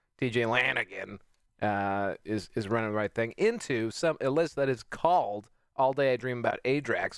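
A man speaks in a plain, everyday voice at a moderate pace, with a medium pitch and ordinary pitch variation. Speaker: stream producer. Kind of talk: casual chat.

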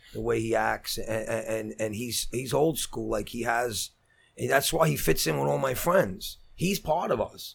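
This man speaks at a fairly slow pace. He has a Brooklyn accent. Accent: Brooklyn New York. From Brooklyn, New York. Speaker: actor, writer and director. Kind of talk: casual chat. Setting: studio.

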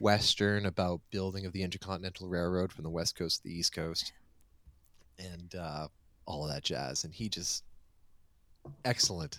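A man speaks with an American accent and a very deep, low pitch. His intonation stays fairly even. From US Maine. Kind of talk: casual chat. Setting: video call.

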